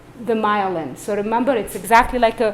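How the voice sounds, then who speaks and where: A woman at a fairly high pitch and moderate pace, with ordinary pitch variation, audible room echo and noticeable background noise. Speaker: neurologist. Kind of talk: lecture.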